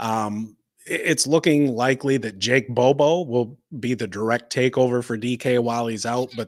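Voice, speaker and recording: Using a normal speaking voice, a man with an American accent speaks at medium pitch and a moderate pace with fairly even intonation, on a very clean recording with a silent background. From Michigan. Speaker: fantasy football co-host. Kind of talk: casual live-stream chat. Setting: live stream.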